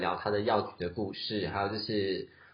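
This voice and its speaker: The man's voice is somewhat breathy at a fairly slow pace. Audible room echo surrounds it. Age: 30s. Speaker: podcast host. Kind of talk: casual chat.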